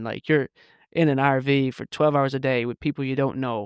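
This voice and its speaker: Fairly quick delivery with fairly even intonation. The recording is very clean and silent in the background, with a dry, close sound and no echo. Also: man. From Ireland and Manchester, England. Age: 30s. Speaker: filmmaker. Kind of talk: podcast interview. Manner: fast, many false starts and fillers.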